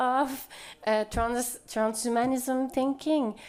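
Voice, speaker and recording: A woman speaks in a Quebec French accent at a high pitch, recorded very cleanly against a silent background. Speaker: sociologist. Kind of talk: panel discussion. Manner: halting.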